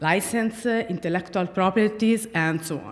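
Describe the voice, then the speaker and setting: A woman speaks with an Italian accent at a medium pitch and moderate pace. Her pitch varies in an ordinary way over noticeable background noise. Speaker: speaker at a tech conference. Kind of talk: conference talk. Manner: halting, many fillers.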